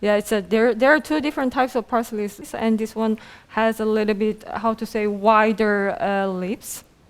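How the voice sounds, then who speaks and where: At a moderate pace, a woman with a Korean accent talks at a fairly high pitch with ordinary pitch variation. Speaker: program director and event host. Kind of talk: casual chat on a cooking talk show. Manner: hesitant, many filler sounds.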